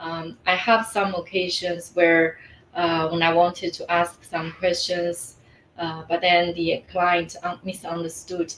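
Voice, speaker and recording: A woman speaks very slowly in a Mandarin accent, her pitch fairly low with monotone, flat intonation. Noticeable background noise sits behind her. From China. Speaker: life coach. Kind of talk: interview. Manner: hesitant, many fillers.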